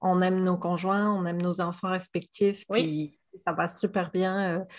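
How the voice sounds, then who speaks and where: A woman of medium pitch talks at a fairly slow pace, somewhat breathy and monotone with flat intonation. The recording is very clean, with a silent background. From France. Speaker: communication strategy entrepreneur. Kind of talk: casual chat.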